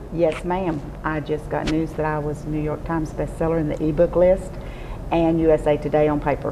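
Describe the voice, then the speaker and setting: Over noticeable background noise, a woman with a Texas accent talks at a fairly quick pace in a very deep, low pitch with monotone, flat intonation. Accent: Southern US (Texas). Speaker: romance novelist. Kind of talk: interview answer. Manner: charming, humorous.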